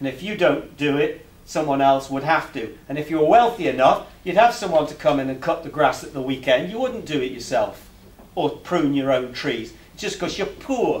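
Speaking at a moderate pace with an English accent, this voice has lively intonation and big swings in loudness. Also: man. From England. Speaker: alternative finance campaigner and presenter; presenter. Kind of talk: public talk to a meeting. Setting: meeting room with live audience. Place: meeting room. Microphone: camera far.

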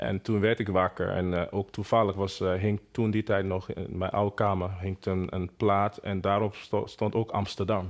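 A man with a Nigerian accent speaks at a moderate pace in a fairly low pitch. His intonation is monotone and flat, and the background is quiet. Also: hardly any pauses. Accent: Nigerian-accented Dutch. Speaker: singer and producer. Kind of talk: interview testimony. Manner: halting, many hesitations. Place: home room. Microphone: lapel.

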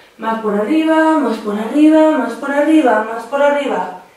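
A woman's high-pitched voice at a fairly slow pace, with ordinary pitch variation and strong room echo. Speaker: exercise instructor. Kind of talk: guided exercise instruction. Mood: calm, gentle pacing. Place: home room.

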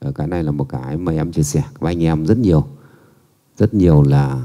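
A man talks in a low pitch with a dark, mellow tone. His pace is moderate and his pitch variation ordinary.

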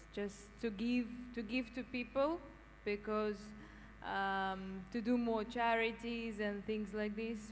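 Over light background noise, a woman with a fairly high pitch and fairly even intonation talks at a very slow pace with long, frequent pauses. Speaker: audience member. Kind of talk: audience participation. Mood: warm, positive. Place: hall. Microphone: handheld.

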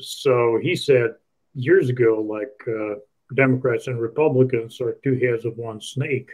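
Speaking in a Russian accent, a man at medium pitch goes at a fairly slow pace with fairly even intonation. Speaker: online show host. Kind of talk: interview.

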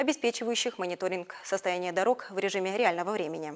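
Against a quiet background, a woman speaks at a very fast pace with ordinary pitch variation. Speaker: news anchor. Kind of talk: news reading. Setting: studio. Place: studio. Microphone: lapel.

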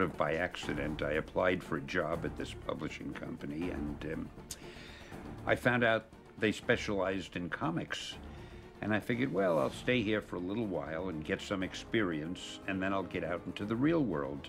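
A man's very deep, low voice at a moderate pace, with clear music in the background. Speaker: interviewee. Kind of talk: interview answer. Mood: warm, amused. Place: home room.

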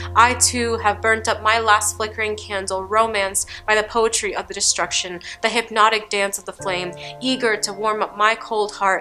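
A woman's flat, monotone delivery at a moderate pace, with faint music in the background. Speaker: poet. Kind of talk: spoken word poetry performance. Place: studio.

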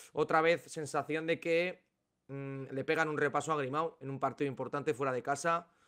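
Against a quiet background, a man speaks with fairly even intonation and a fairly high pitch. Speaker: basketball podcast co-host. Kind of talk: casual sports analysis chat. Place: home room. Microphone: studio mic.

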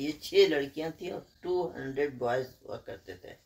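The voice belongs to a woman. It carries a dark, mellow tone. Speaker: retired chemistry professor. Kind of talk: interview answer.

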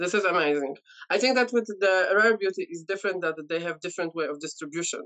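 The background is quiet. A woman speaks at a very fast pace. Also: ordinary pitch variation. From Poland. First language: Polish. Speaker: beauty content creator. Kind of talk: casual chat. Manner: halting. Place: home room. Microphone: video call.

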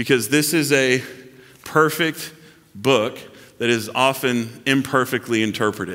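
A man's bright, sharp voice moves through ordinary pitch variation. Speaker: pastor. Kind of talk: sermon. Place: church.

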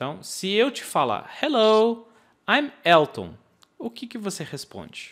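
Speaking very slowly with an English accent against a quiet background, a man with a high pitch makes very wide pitch swings and big swings in loudness. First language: English (speaking Portuguese). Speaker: English teacher. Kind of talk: online course lesson. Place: home room. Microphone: studio mic.

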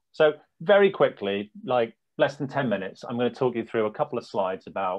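Against a quiet background, a man speaks at a very fast pace, his pitch swinging very widely. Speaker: head of technology at an edtech company. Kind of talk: software demo presentation. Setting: video call with screen sharing.

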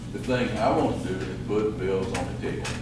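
Over loud background noise and audible room echo, a man talks at a moderate pace. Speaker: political candidate. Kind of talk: campaign speech. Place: hall. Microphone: camera far.

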